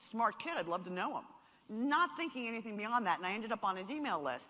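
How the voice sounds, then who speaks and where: In a New York accent, a woman sounds animated, with a fairly high pitch, a bright, sharp tone and lively intonation. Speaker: marketing speaker. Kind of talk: seminar talk.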